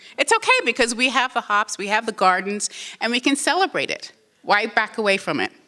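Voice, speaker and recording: At a fairly quick pace, a woman talks in an animated tone with lively intonation and a fairly high pitch, the sound dry and close with no echo. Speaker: museum executive. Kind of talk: conference presentation. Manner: fast.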